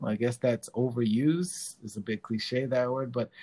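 A man speaks at medium pitch with a New York accent. The sound is dry and close, with no echo. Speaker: dancer and DJ. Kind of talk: casual interview.

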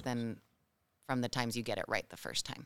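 A woman speaks with an American accent. The recording is very clean, with a silent background. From Mexico. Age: 30s. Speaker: actor. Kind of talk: casual interview.

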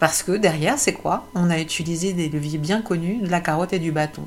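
A woman at a moderate pace. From France, Paris. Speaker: entrepreneur and personal coach. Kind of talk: personal monologue video. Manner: hesitant, many fillers and repetitions.

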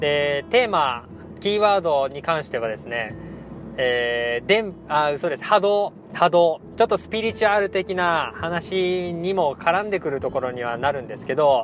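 A man speaks with a fairly high pitch and lively intonation. Noticeable background noise runs behind him. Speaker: cram school teacher and podcaster. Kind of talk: casual monologue. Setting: in a car. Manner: fast; animated.

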